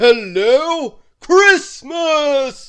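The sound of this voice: A loud, high-pitched, put-on character voice carries the whole line.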